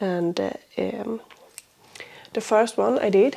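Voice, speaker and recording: A woman with a Swedish accent, medium-pitched, at a very slow pace. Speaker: crafting podcaster. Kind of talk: casual vlog chat. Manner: hesitant, many fillers.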